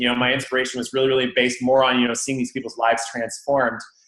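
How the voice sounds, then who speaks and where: The speaker delivers an energetic tone at a very fast pace. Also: man. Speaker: chiropractor. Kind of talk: interview.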